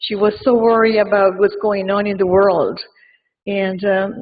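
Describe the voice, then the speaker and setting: With an Argentine accent, a woman speaks at a medium pitch with fairly even intonation. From Argentina. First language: Spanish. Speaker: mourner giving a tribute. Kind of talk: eulogy. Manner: halting.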